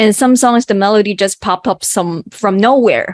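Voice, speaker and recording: With a Cantonese accent, a woman speaks at a fairly high pitch in a dry, close sound with no echo. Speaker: mathematician and songwriter. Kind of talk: interview. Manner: halting.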